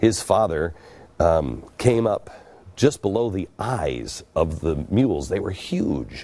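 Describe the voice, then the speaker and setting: The tone is dark and mellow with vocal fry. The pace is very slow. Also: man. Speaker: TV show host. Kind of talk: storytelling monologue. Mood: earnest, reflective storytelling. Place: studio. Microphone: lapel.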